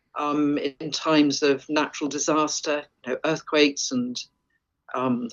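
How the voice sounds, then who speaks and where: Someone with an English accent talks at a fairly slow pace with monotone, flat intonation. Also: woman. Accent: sounds very English. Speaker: forager and wild food expert. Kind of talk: interview.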